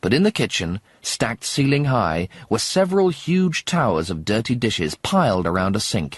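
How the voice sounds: This clip has a natural reading voice.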